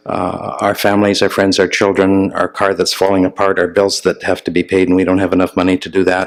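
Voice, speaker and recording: Noticeable background noise sits behind the speaker. He is a man with a fairly low pitch, talking at a fairly quick pace. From Northern Ontario, Canada. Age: middle-aged. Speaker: journalist and columnist. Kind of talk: guest talk at church. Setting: church. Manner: hesitant, many fillers.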